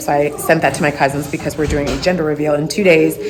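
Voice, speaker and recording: A woman's very deep, low voice amid noticeable background noise and audible room echo. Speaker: vlogger. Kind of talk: casual vlog. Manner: whispering.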